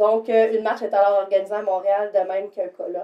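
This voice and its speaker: At a moderate pace, a woman with a medium pitch talks in an ordinary speaking voice. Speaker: shelter worker for abused women, podcast co-host. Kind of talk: casual chat.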